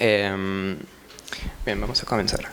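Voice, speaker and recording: A man with a French accent is heard in a room with audible echo and noticeable background noise. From France. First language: French (speaking Spanish). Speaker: researcher presenting at a seminar. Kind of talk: conference presentation. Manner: halting, many fillers and restarts.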